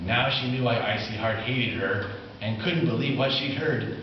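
Audible room echo follows a man speaking at a medium pitch with ordinary pitch variation.

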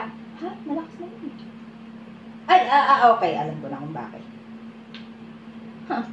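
With very wide pitch swings and big swings in loudness, a woman speaks at a moderate pace with long, frequent pauses, amid audible room echo and light background noise. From Philippines. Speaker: vlogger playing a game. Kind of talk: casual talk to camera, game with friends. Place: home room. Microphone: phone near.

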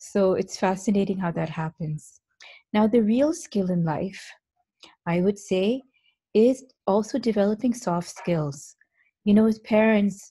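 A woman speaks fairly slowly in a somewhat breathy voice, with ordinary pitch variation. Long, frequent pauses break up her speech against a quiet background. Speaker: presenter. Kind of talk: lecture. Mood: reflective, warm. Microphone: video call.

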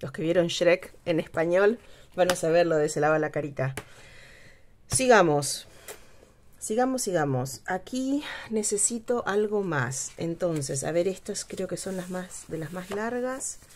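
This voice carries a Spanish accent and lively intonation at a fairly slow pace. Light background noise is present. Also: woman, fairly low pitch for a woman. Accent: Spanish accent in English, rolled R. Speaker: craft youtuber. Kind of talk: craft tutorial. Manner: casual, hesitant with fillers. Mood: relaxed, chatty.

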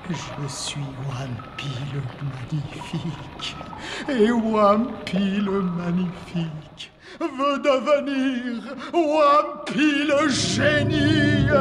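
A cartoonish character voice, fairly high and menacing, with very wide pitch swings, a very slow pace and clear background noise. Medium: puppet. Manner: grandiose, menacing.

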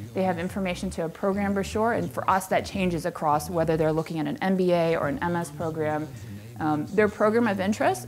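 A woman speaks in an unremarkable speaking voice, fairly low in pitch, at a moderate pace. Light background noise can be heard. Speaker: conference presenter. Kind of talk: presentation talk. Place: hall.

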